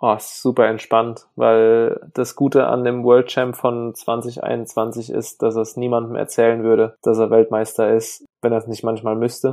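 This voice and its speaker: A man speaks at a medium pitch in a monotone, flat intonation with hardly any pauses. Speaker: enduro mountain bike racer. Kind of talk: casual interview.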